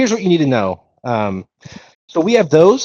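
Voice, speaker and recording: A man's fairly high voice at a fairly quick pace, with very wide pitch swings, in a dry, close sound with no echo. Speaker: game studio founder. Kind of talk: live Q&A stream.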